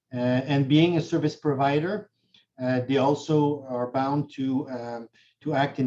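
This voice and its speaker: A man talks at a fairly slow pace in a plain, everyday voice. His pitch is fairly high and his intonation fairly even. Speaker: notary and condo law instructor. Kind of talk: webinar lecture.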